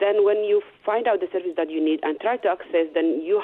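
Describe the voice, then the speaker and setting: A woman speaks with a Somali accent at a fairly quick pace. Noticeable background noise runs behind her. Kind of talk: radio interview. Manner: halting.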